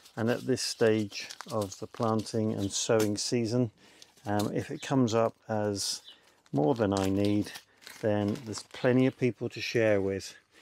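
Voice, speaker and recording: A man's fairly low voice at a fairly slow pace, dry with no echo, over light background noise. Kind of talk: tutorial. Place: garden.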